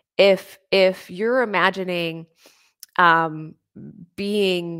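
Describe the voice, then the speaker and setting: A woman speaks in a plain, everyday voice. Her intonation stays fairly even. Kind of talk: guided meditation, visualization of expanding light. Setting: live online stream with comments. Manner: slow, soothing, calm and gentle.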